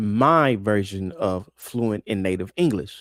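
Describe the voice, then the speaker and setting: A man speaks with an American accent at a fairly slow pace. His pitch rises and falls in an ordinary way. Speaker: podcast host and wealth mentor. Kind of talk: casual podcast commentary. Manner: casual, conversational; halting, with repeated words.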